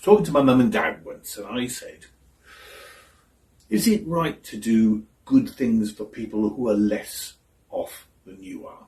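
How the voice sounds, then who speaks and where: Speaking at a fairly slow pace, a man leaves long, frequent pauses and shows big swings in loudness. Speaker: actor. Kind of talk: theatre monologue.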